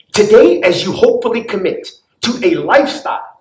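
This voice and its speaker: A man speaks with very wide pitch swings, and audible room echo surrounds his voice. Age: 60s. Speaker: commencement speaker, trial lawyer. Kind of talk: commencement speech. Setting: graduation ceremony. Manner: formal.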